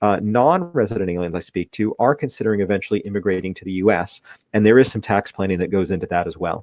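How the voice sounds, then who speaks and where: With an American accent, a man speaks at a medium pitch. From United States. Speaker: wealth manager. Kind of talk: webinar presentation. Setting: live webinar. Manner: fast.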